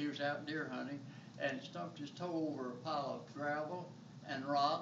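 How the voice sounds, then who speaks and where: A man with a north Georgia accent at a moderate pace and fairly high pitch, fairly even in intonation, with audible room echo and noticeable background noise. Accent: Southern US, north Georgia. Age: 90s. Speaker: local elder recounting family history. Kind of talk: oral history interview. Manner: halting, with repetitions.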